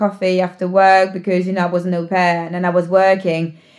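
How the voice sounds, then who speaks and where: A woman's medium-pitched voice in a British accent, at a fairly quick pace. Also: very clean recording, silent background. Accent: British English, near-native. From France. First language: French. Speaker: podcast guest. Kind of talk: casual chat. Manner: animated.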